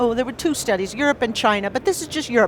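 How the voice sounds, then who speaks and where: A woman talks at a high pitch with lively intonation. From United States. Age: 60s. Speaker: professor and record producer. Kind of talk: lecture. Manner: animated.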